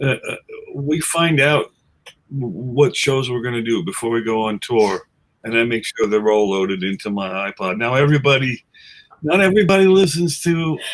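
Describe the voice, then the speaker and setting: At a moderate pace, a man with an American accent speaks at a medium pitch using very wide pitch swings. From New York City, Queens. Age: 60s. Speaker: musician, guitarist in a tribute band. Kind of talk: casual chat. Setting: webcast.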